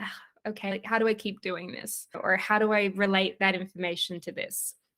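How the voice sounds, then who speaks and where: A woman is speaking. She has an Australian accent. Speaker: leadership coach. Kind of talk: interview.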